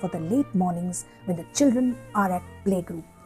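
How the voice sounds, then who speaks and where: Music plays in the background. A woman speaks with very wide pitch swings. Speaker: poet. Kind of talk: poetry reading.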